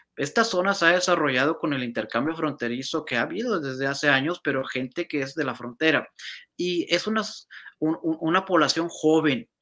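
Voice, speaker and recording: A man's fairly high-pitched voice, bright and sharp in tone, at a moderate pace with ordinary pitch variation against a quiet background. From northern Mexico, Reynosa, Tamaulipas; Tamaulipas, Mexico. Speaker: Spanish professor; college Spanish professor, guest. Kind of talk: interview. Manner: hesitant, many fillers. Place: home room. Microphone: video call.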